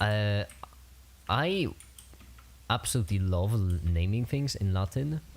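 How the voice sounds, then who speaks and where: Speech with a Polish accent comes at a fairly slow pace, with long, frequent pauses. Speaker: streamer. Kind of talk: casual chat. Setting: livestream. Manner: halting.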